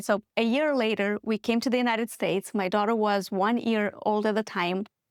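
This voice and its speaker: In a very clean recording with a silent background, a woman with a Moldovan accent speaks at a medium pitch with ordinary pitch variation, the sound dry and close with no echo. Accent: Moldovan accent, noticeable. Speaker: business founder. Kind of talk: podcast interview.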